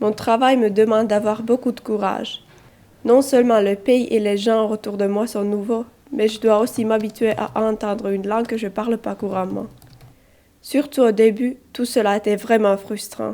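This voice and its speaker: A woman speaks with a Finnish accent. Her voice is fairly high and her pace moderate. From Finland. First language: Finnish (speaking French). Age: 20s. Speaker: volunteer at a school. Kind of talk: scripted narration.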